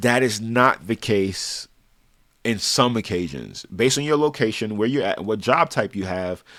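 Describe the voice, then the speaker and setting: Lively intonation marks a man's normal speaking voice, fairly low in pitch. He goes at a moderate pace on a very clean recording with a silent background. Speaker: personal finance vlogger. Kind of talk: advice monologue.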